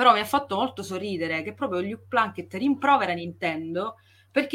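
Speaking at a very fast pace, a woman with an Italian accent uses lively intonation. Her tone is bright and sharp. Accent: strongly Italian when speaking English. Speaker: podcast co-host. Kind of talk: casual chat.

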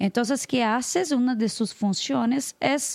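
A woman with a Brazilian accent speaks at a high pitch with ordinary pitch variation, her voice dry and close with no echo in a very clean recording over a silent background. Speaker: international news editor. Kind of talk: casual chat.

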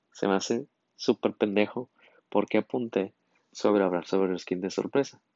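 The man's pitch is fairly low, with ordinary pitch variation. He keeps a moderate pace. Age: 20s. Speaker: podcast host, engineering student. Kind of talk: casual solo monologue. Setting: solo recording at night.

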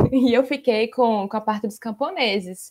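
With a normal speaking voice, a woman speaks at a moderate pace and a fairly high pitch, with ordinary pitch variation. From Brazil, Maceió, Alagoas. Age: 20s. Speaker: researcher and lawyer. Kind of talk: casual interview.

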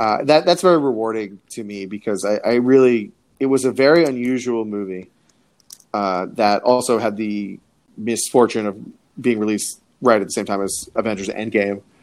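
A man talks in a normal speaking voice at a medium pitch and moderate pace, with an American accent. His pitch variation is ordinary, on a very clean recording with a silent background. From South Florida (Coral Springs). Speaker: TV and film writer. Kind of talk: casual interview.

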